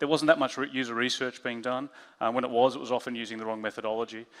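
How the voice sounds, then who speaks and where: Man with an Australian accent, medium pitch and ordinary pitch variation, on a very clean recording with a silent background. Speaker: head of design, conference speaker. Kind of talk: conference talk. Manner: halting, many fillers.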